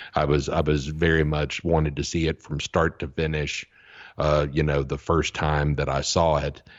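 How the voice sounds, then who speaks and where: At a moderate pace, the voice carries vocal fry and a monotone, flat intonation. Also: man, very deep, low pitch for a man. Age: 50s. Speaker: podcast co-host and video reviewer. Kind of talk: casual chat.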